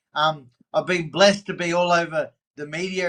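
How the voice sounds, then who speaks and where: A man with an Australian accent speaks in a high pitch. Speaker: recovering addict sharing his story. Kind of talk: podcast interview. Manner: animated.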